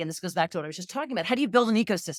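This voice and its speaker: In an American accent, a woman talks with lively intonation. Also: dry, close sound with no echo. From New Jersey. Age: 60s. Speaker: market analyst, company founder. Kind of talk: interview.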